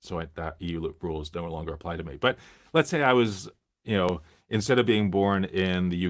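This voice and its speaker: This man, with an American accent, talks at a fairly quick pace in a very deep, low pitch with ordinary pitch variation, recorded very cleanly over a silent background. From US, Miami. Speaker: tech live streamer. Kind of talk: live stream Q&A. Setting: live stream. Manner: halting, many fillers.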